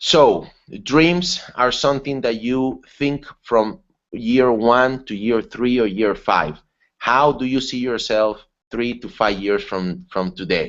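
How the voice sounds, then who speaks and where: A man's normal speaking voice at medium pitch, with lively intonation and a fairly slow pace. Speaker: webinar presenter. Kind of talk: online seminar talk. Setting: online webinar.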